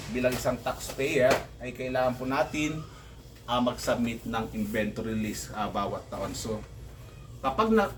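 The somewhat breathy voice moves at a moderate pace with fairly even intonation and audible room echo. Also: man. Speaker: vlogger and sari-sari store owner. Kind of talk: tutorial. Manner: halting, many fillers.

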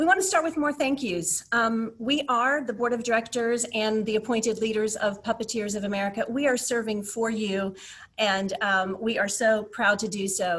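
A woman speaks at a fairly quick pace with hardly any pauses and ordinary pitch variation. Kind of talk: meeting presentation. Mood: grateful, warm. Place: home room. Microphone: webcam.

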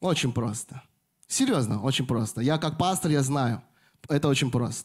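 Somewhat breathy male voice at a moderate pace, very even in loudness, ordinary pitch variation, quiet background. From Moscow, Russia; Russia. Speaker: pastor. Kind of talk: sermon. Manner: halting, with frequent fillers. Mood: warm, smiling, earnest. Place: church. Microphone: handheld.

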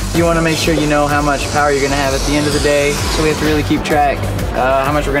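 A male voice over clear music in the background. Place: stadium.

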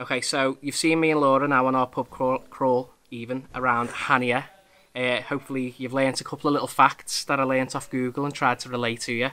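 His pace is fairly quick. The man's intonation stays monotone and flat. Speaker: vlogger. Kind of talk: casual vlog chat. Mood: relaxed, friendly. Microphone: phone near.

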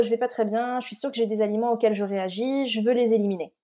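With a dark, mellow tone, a woman speaks at a fairly high pitch and ordinary pitch variation. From Scotland. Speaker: nutritional therapist. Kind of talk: interview with personal testimony.

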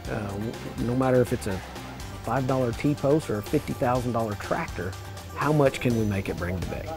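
Against clear music in the background, a man with an American accent speaks at a moderate pace with ordinary pitch variation, in a dry sound with no echo. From Illinois. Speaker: livestock auctioneer. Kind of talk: interview answer. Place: hall. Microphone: lapel.

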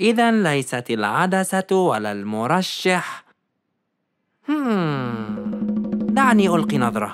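A woman in a cartoonish character voice speaks slowly at a low pitch with big pitch swings, faint music playing in the background.

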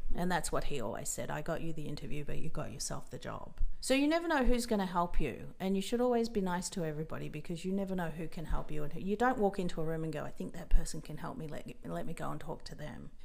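A woman with an Australian accent talks at a very fast pace with hardly any pauses, her fairly low voice showing vocal fry and lively intonation. Her loudness swings widely, and audible room echo fills the recording. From rural Australia. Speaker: makeup artist. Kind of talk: interview.

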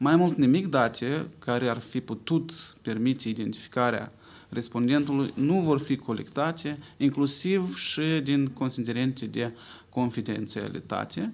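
The speaker moves at a fairly slow pace. Pitch variation is ordinary. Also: man, medium pitch for a man. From Moldova. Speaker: pollster. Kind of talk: press conference. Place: hall. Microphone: podium.

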